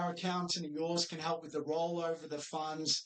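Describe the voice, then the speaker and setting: With an Australian accent, a man speaks at a moderate pace. His voice is high-pitched. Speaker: financial adviser. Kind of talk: training video presentation. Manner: upbeat, encouraging.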